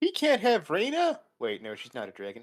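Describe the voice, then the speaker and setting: A man's put-on character voice, high in pitch, at a moderate pace with big swings in loudness. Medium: actual play. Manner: confused.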